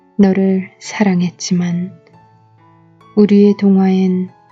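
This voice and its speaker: Over music in the background, a woman talks very slowly at a medium pitch with monotone, flat intonation. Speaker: poet reading her own poem. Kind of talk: poetry reading. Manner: soft, lullaby-like ASMR.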